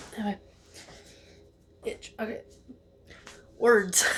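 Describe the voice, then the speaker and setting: Over noticeable background noise, a woman talks fairly slowly in a fairly high, monotone, flat voice. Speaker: vlogger. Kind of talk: casual chat. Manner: loud; rambling, hesitant.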